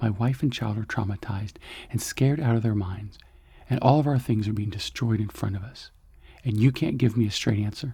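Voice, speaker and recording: A soft-spoken, somewhat breathy man at medium pitch. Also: ordinary pitch variation, fairly quick pace. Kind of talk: science fiction story narration.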